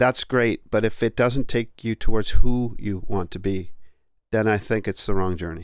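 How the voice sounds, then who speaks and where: A man with a Canadian accent and a plain, everyday voice, fairly even intonation and a moderate pace, in a very clean recording with a silent background. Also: fairly low pitch for a man. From Canada (Ontario). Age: 60s. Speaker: podcast host and author. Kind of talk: casual conversation.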